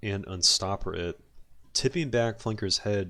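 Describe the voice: Plain reading aloud, nothing more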